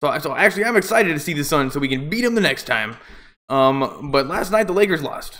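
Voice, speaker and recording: This man has a fairly high pitch and lively intonation. He talks at a moderate pace. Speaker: amateur sports play-by-play streamer. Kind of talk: live commentary. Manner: loud; casual, halting with fillers.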